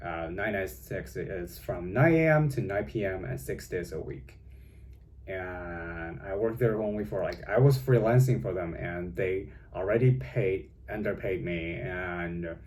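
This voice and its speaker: Vocal fry and very wide pitch swings mark this fairly slow delivery, heard with audible room echo. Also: man, very deep, low pitch for a man. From China. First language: Chinese. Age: young. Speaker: vlogger. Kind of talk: casual vlog monologue. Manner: halting, many fillers.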